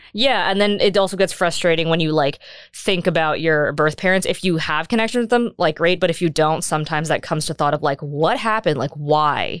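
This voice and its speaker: An unremarkable speaking voice comes through with an American accent and ordinary pitch variation. The recording is very clean, and the background is silent. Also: woman, fairly low pitch for a woman, fairly quick pace, hardly any pauses. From United States. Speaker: adoptee sharing her story. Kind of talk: casual interview.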